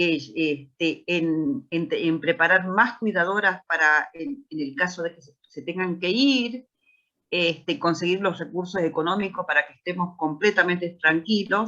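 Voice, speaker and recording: A woman in a Rioplatense accent, fairly low-pitched with a bright, sharp tone, fairly slow, with big swings in loudness. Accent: Argentine Spanish (rioplatense). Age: 60s. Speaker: founder of a special-needs institution, parent. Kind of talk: panel discussion.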